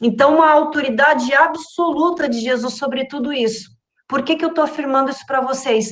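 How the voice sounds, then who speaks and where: A high-pitched woman at a moderate pace, with fairly even intonation. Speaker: Bible study teacher. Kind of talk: Bible study lesson.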